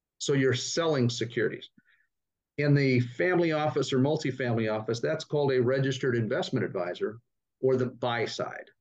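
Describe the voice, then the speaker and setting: A man with an American accent speaks in an ordinary speaking voice at a medium pitch with ordinary pitch variation. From Northern California. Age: 60s. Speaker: startup investment executive. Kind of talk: interview.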